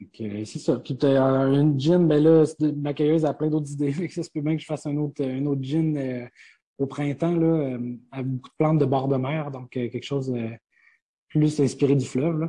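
A man's fairly high voice, dark and mellow in tone, with fairly even intonation. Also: moderate pace. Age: 20s. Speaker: distillery co-owner. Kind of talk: interview. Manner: halting.

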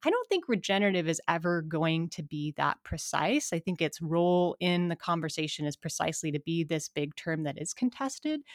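In an American accent, a woman talks at a fairly quick pace with hardly any pauses, using a fairly low pitch and ordinary pitch variation. It is an unremarkable speaking voice, heard in a dry, close sound with no echo. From Montana, US. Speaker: environmental studies professor and author. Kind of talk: interview conversation.

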